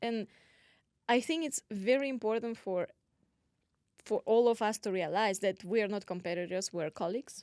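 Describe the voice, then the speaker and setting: In a Russian accent, a woman with a fairly high voice speaks with long, frequent pauses, in a very clean, dry, close recording with a silent background and no echo. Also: ordinary pitch variation, moderate pace. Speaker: podcast co-host, real estate agent. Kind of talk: casual chat.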